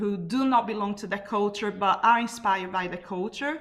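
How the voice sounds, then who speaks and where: The speaker is a woman. She talks with a Brazilian accent. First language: Portuguese. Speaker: carnival artist and drummer. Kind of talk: panel talk.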